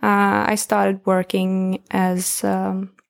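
In a very clean recording with a silent background, a woman speaks with a Swedish accent. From northern Sweden. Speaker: social media manager and skier. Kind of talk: casual chat. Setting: indoors in Austrian ski resort.

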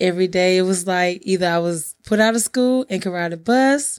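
On a very clean recording with a silent background, a woman speaks calmly at a moderate pace in a medium pitch with ordinary variation. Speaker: podcast host, real estate agent and bondsman. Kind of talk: interview, telling life story.

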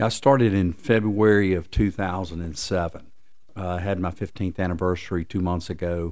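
A very deep, low man's voice in a Southern US accent, with fairly even intonation, in a very clean recording with a silent background. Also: moderate pace. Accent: Southern American. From US South, Lookout Mountain, Tennessee/Georgia. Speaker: tourist attraction executive. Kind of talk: interview. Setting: office.

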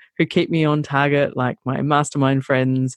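A woman with an Australian accent speaks at a very deep, low pitch. The sound is dry and close with no echo, against a quiet background. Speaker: travel blogger and social media consultant. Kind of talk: interview conversation. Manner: hesitant, many fillers.

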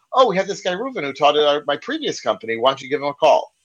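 A man with a slight American accent, fairly high pitch, very wide pitch swings and a very fast pace. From US. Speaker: software trainer, consultant. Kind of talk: casual interview. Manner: fast talker.

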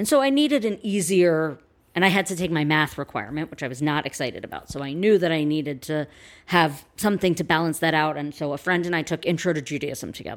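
On a very clean recording with a silent background, someone with an American accent talks at a very fast pace with ordinary pitch variation. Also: woman, very deep, low pitch for a woman. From New York City. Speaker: rabbi. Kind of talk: casual interview chat.

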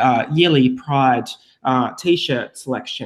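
A man with an Australian accent, at a fairly slow pace. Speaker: podcast co-host. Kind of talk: casual scripted-style podcast chat.

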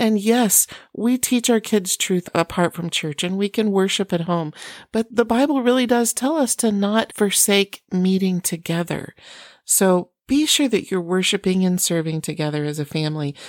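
Recorded very cleanly with a silent background and a dry, close sound with no echo, a woman with an American accent speaks at medium pitch and a moderate pace, her intonation lively. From US Midwest, Iowa. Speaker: parenting podcast host. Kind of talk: casual encouraging monologue.

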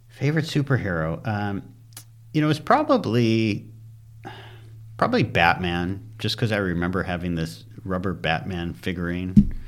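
A man talks at a moderate pace, his pitch very deep and low. His intonation is lively, and he makes long, frequent pauses. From US Midwest, Detroit suburbs, Michigan. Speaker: commercial real estate broker. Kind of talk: interview. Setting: studio.

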